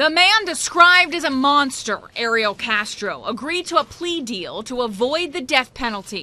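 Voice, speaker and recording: Her voice raised and projected, a woman with a high pitch speaks at a moderate pace with lively intonation. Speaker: TV news reporter. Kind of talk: TV news report.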